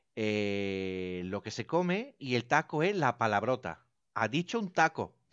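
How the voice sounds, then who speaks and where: With very wide pitch swings around a medium pitch, a man speaks at a fairly slow pace, recorded dry and close with no echo over a quiet background. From Italy. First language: Italian (speaking Spanish). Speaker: radio station director. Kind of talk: casual chat.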